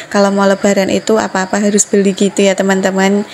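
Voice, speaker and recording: Over noticeable background noise, a woman speaks at a medium pitch and a fairly quick pace. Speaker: housewife vlogger. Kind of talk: vlog voice-over. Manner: casual, chatty.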